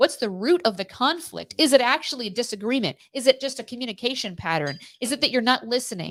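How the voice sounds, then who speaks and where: A woman talks loudly at a very fast pace with hardly any pauses. Her high voice has lively intonation. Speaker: co-host of a live morning show. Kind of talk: casual live-stream chat.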